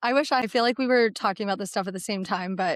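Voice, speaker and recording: The woman's voice has a dry, close sound with no echo. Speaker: podcast co-host. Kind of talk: casual chat. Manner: fast.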